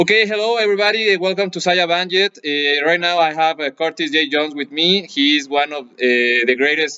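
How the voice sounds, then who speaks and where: This man has a Spanish accent. He talks fairly fast. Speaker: martial arts instructor and channel host. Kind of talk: interview with translation. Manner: halting.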